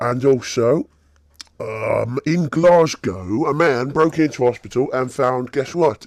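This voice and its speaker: At a fairly slow pace, a man with a British accent speaks in a medium pitch, the sound dry and close with no echo. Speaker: gaming YouTuber. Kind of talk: casual gameplay commentary. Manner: casual, halting with fillers.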